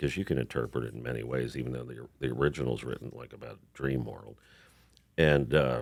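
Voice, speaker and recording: A man with an American accent speaks at a fairly quick pace in a very deep, low pitch, with vocal fry. His intonation stays fairly even while his loudness swings widely. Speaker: singer-songwriter and actor. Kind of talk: casual chat.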